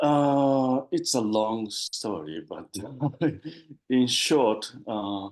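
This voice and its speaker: A man with a Japanese accent at a medium pitch, with ordinary pitch variation, a very slow pace and long, frequent pauses. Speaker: spiritual seeker. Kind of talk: interview. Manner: halting, many fillers.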